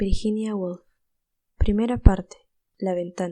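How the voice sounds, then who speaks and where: With a Latin American accent, a woman speaks at a moderate pace in a dark, mellow tone at medium pitch. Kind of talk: audiobook narration.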